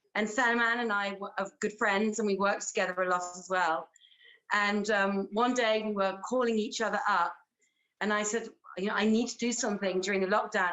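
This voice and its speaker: With an English accent, a woman talks at a fairly quick pace in a fairly high pitch. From England. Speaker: actress and theatre director. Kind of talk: interview.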